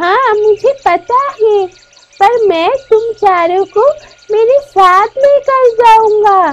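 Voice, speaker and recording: A cartoonish character voice moves along at a very slow pace. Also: woman, extremely high pitch for a woman. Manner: calm, knowing.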